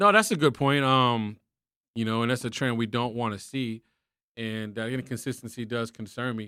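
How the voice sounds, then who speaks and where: A man with an American accent at a medium pitch and moderate pace, with fairly even intonation, on a very clean recording with a silent background. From Texas. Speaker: boxing podcast co-host. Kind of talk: casual chat.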